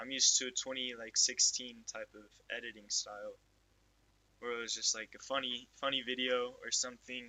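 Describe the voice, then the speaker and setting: The man keeps to a moderate pace as he talks. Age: 18. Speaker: youtuber. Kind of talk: casual monologue. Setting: lying in bed at home. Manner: casual, halting with fillers. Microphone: not wearing the mic, quality may be bad.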